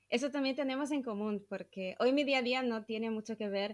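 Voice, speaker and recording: A woman with a Brazilian accent, fairly high-pitched, at a moderate pace. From southern Brazil. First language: Portuguese (speaking Spanish). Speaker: podcast host, psychologist. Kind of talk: casual interview chat.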